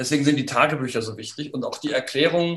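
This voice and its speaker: Fairly quick speech comes from a man with an ordinary speaking voice. His fairly high pitch varies in an ordinary way. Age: 50s. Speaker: historian, professor, book author. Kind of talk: interview about his book. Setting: online video conversation.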